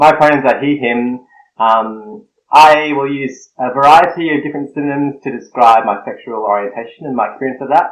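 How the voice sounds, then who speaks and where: At a fairly quick pace, a man with an Australian accent speaks at a medium pitch with ordinary pitch variation. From Australia, Snowy Mountains. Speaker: guest, blogger and seminary student. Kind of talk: podcast interview.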